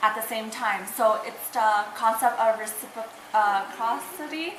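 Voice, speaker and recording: A woman with an American accent speaks in a high voice at a moderate pace with fairly even intonation. Room echo is audible, along with noticeable background noise. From Utah, US. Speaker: college student mentor. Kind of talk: student video reflection.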